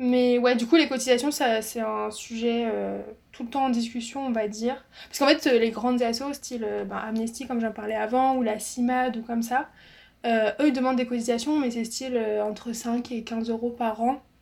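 At a moderate pace, a woman speaks high in pitch with a monotone, flat intonation. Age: 20s. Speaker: student association founder. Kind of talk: interview. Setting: video call. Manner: casual, hesitant with fillers.

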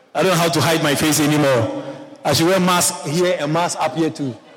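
This man talks at a very fast pace with a fairly high pitch. His pitch varies an ordinary amount, and there is noticeable background noise. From Ghana. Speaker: pastor. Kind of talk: sermon. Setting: church.

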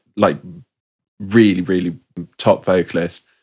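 A man with a West Country accent, a very deep, low pitch and fairly even intonation. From England, Bristol. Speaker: DJ and producer. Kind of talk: casual chat.

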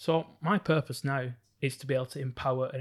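Somewhat breathy, fairly quick speech on a very clean recording with a silent background. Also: man. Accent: northern English. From northern England (Bolton). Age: 30s. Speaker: psychologist and entrepreneur. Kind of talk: interview.

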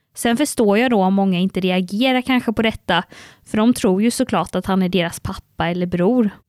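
A woman talks fairly quickly in a plain, everyday voice, medium in pitch with ordinary pitch variation and very even loudness. The recording is very clean and dry, close with no echo, and the background is silent. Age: 20s. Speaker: podcast co-host, communications officer. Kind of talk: casual chat.

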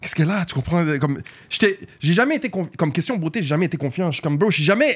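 The man's voice sits at a high pitch. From Montreal, Quebec (Saint-Michel). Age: 20s. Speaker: social media influencer. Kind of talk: casual interview.

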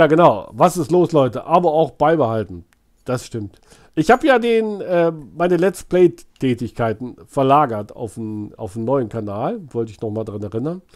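Speaking at a moderate pace, a man uses a fairly high pitch with very wide pitch swings and big swings in loudness. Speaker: YouTube streamer baiting phone scammers. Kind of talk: casual live stream chat. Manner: animated.

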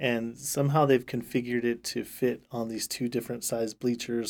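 A normal speaking voice at a moderate pace, fairly even in intonation, on a very clean recording with a silent background. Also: man. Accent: American. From California, Central Valley. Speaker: marching band director. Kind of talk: casual interview.

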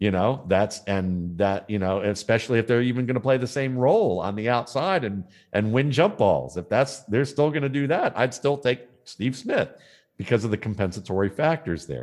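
Speaking at a moderate pace against a quiet background, a man uses a plain, everyday voice at medium pitch with lively intonation. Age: 50s. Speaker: football scout and analyst. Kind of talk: interview.

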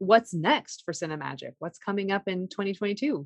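With lively intonation and an unremarkable speaking voice, a woman talks at medium pitch and a fairly slow pace in a dry, close sound with no echo. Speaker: podcast host. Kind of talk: interview conversation. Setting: recorded over a poor connection.

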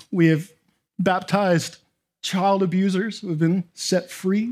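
Here a man speaks with a high voice. His pace is fairly slow. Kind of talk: sermon. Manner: animated, self-deprecating, humorous, with frequent 'amen?' calls to the crowd.

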